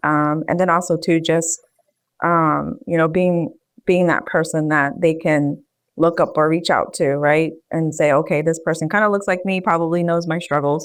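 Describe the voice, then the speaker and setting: With a Philadelphia accent, a woman speaks at a fairly low pitch and moderate pace, her intonation fairly even against a quiet background. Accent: American, Philadelphia. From US, Philadelphia. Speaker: public health professional. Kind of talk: interview.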